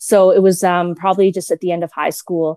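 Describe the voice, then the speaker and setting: A woman's fairly low, dark, mellow voice with a Western Canadian accent, on a very clean recording with a silent background. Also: dry, close sound with no echo. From Edmonton, Alberta, Canada. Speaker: podcast producer. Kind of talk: interview. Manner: halting, many fillers.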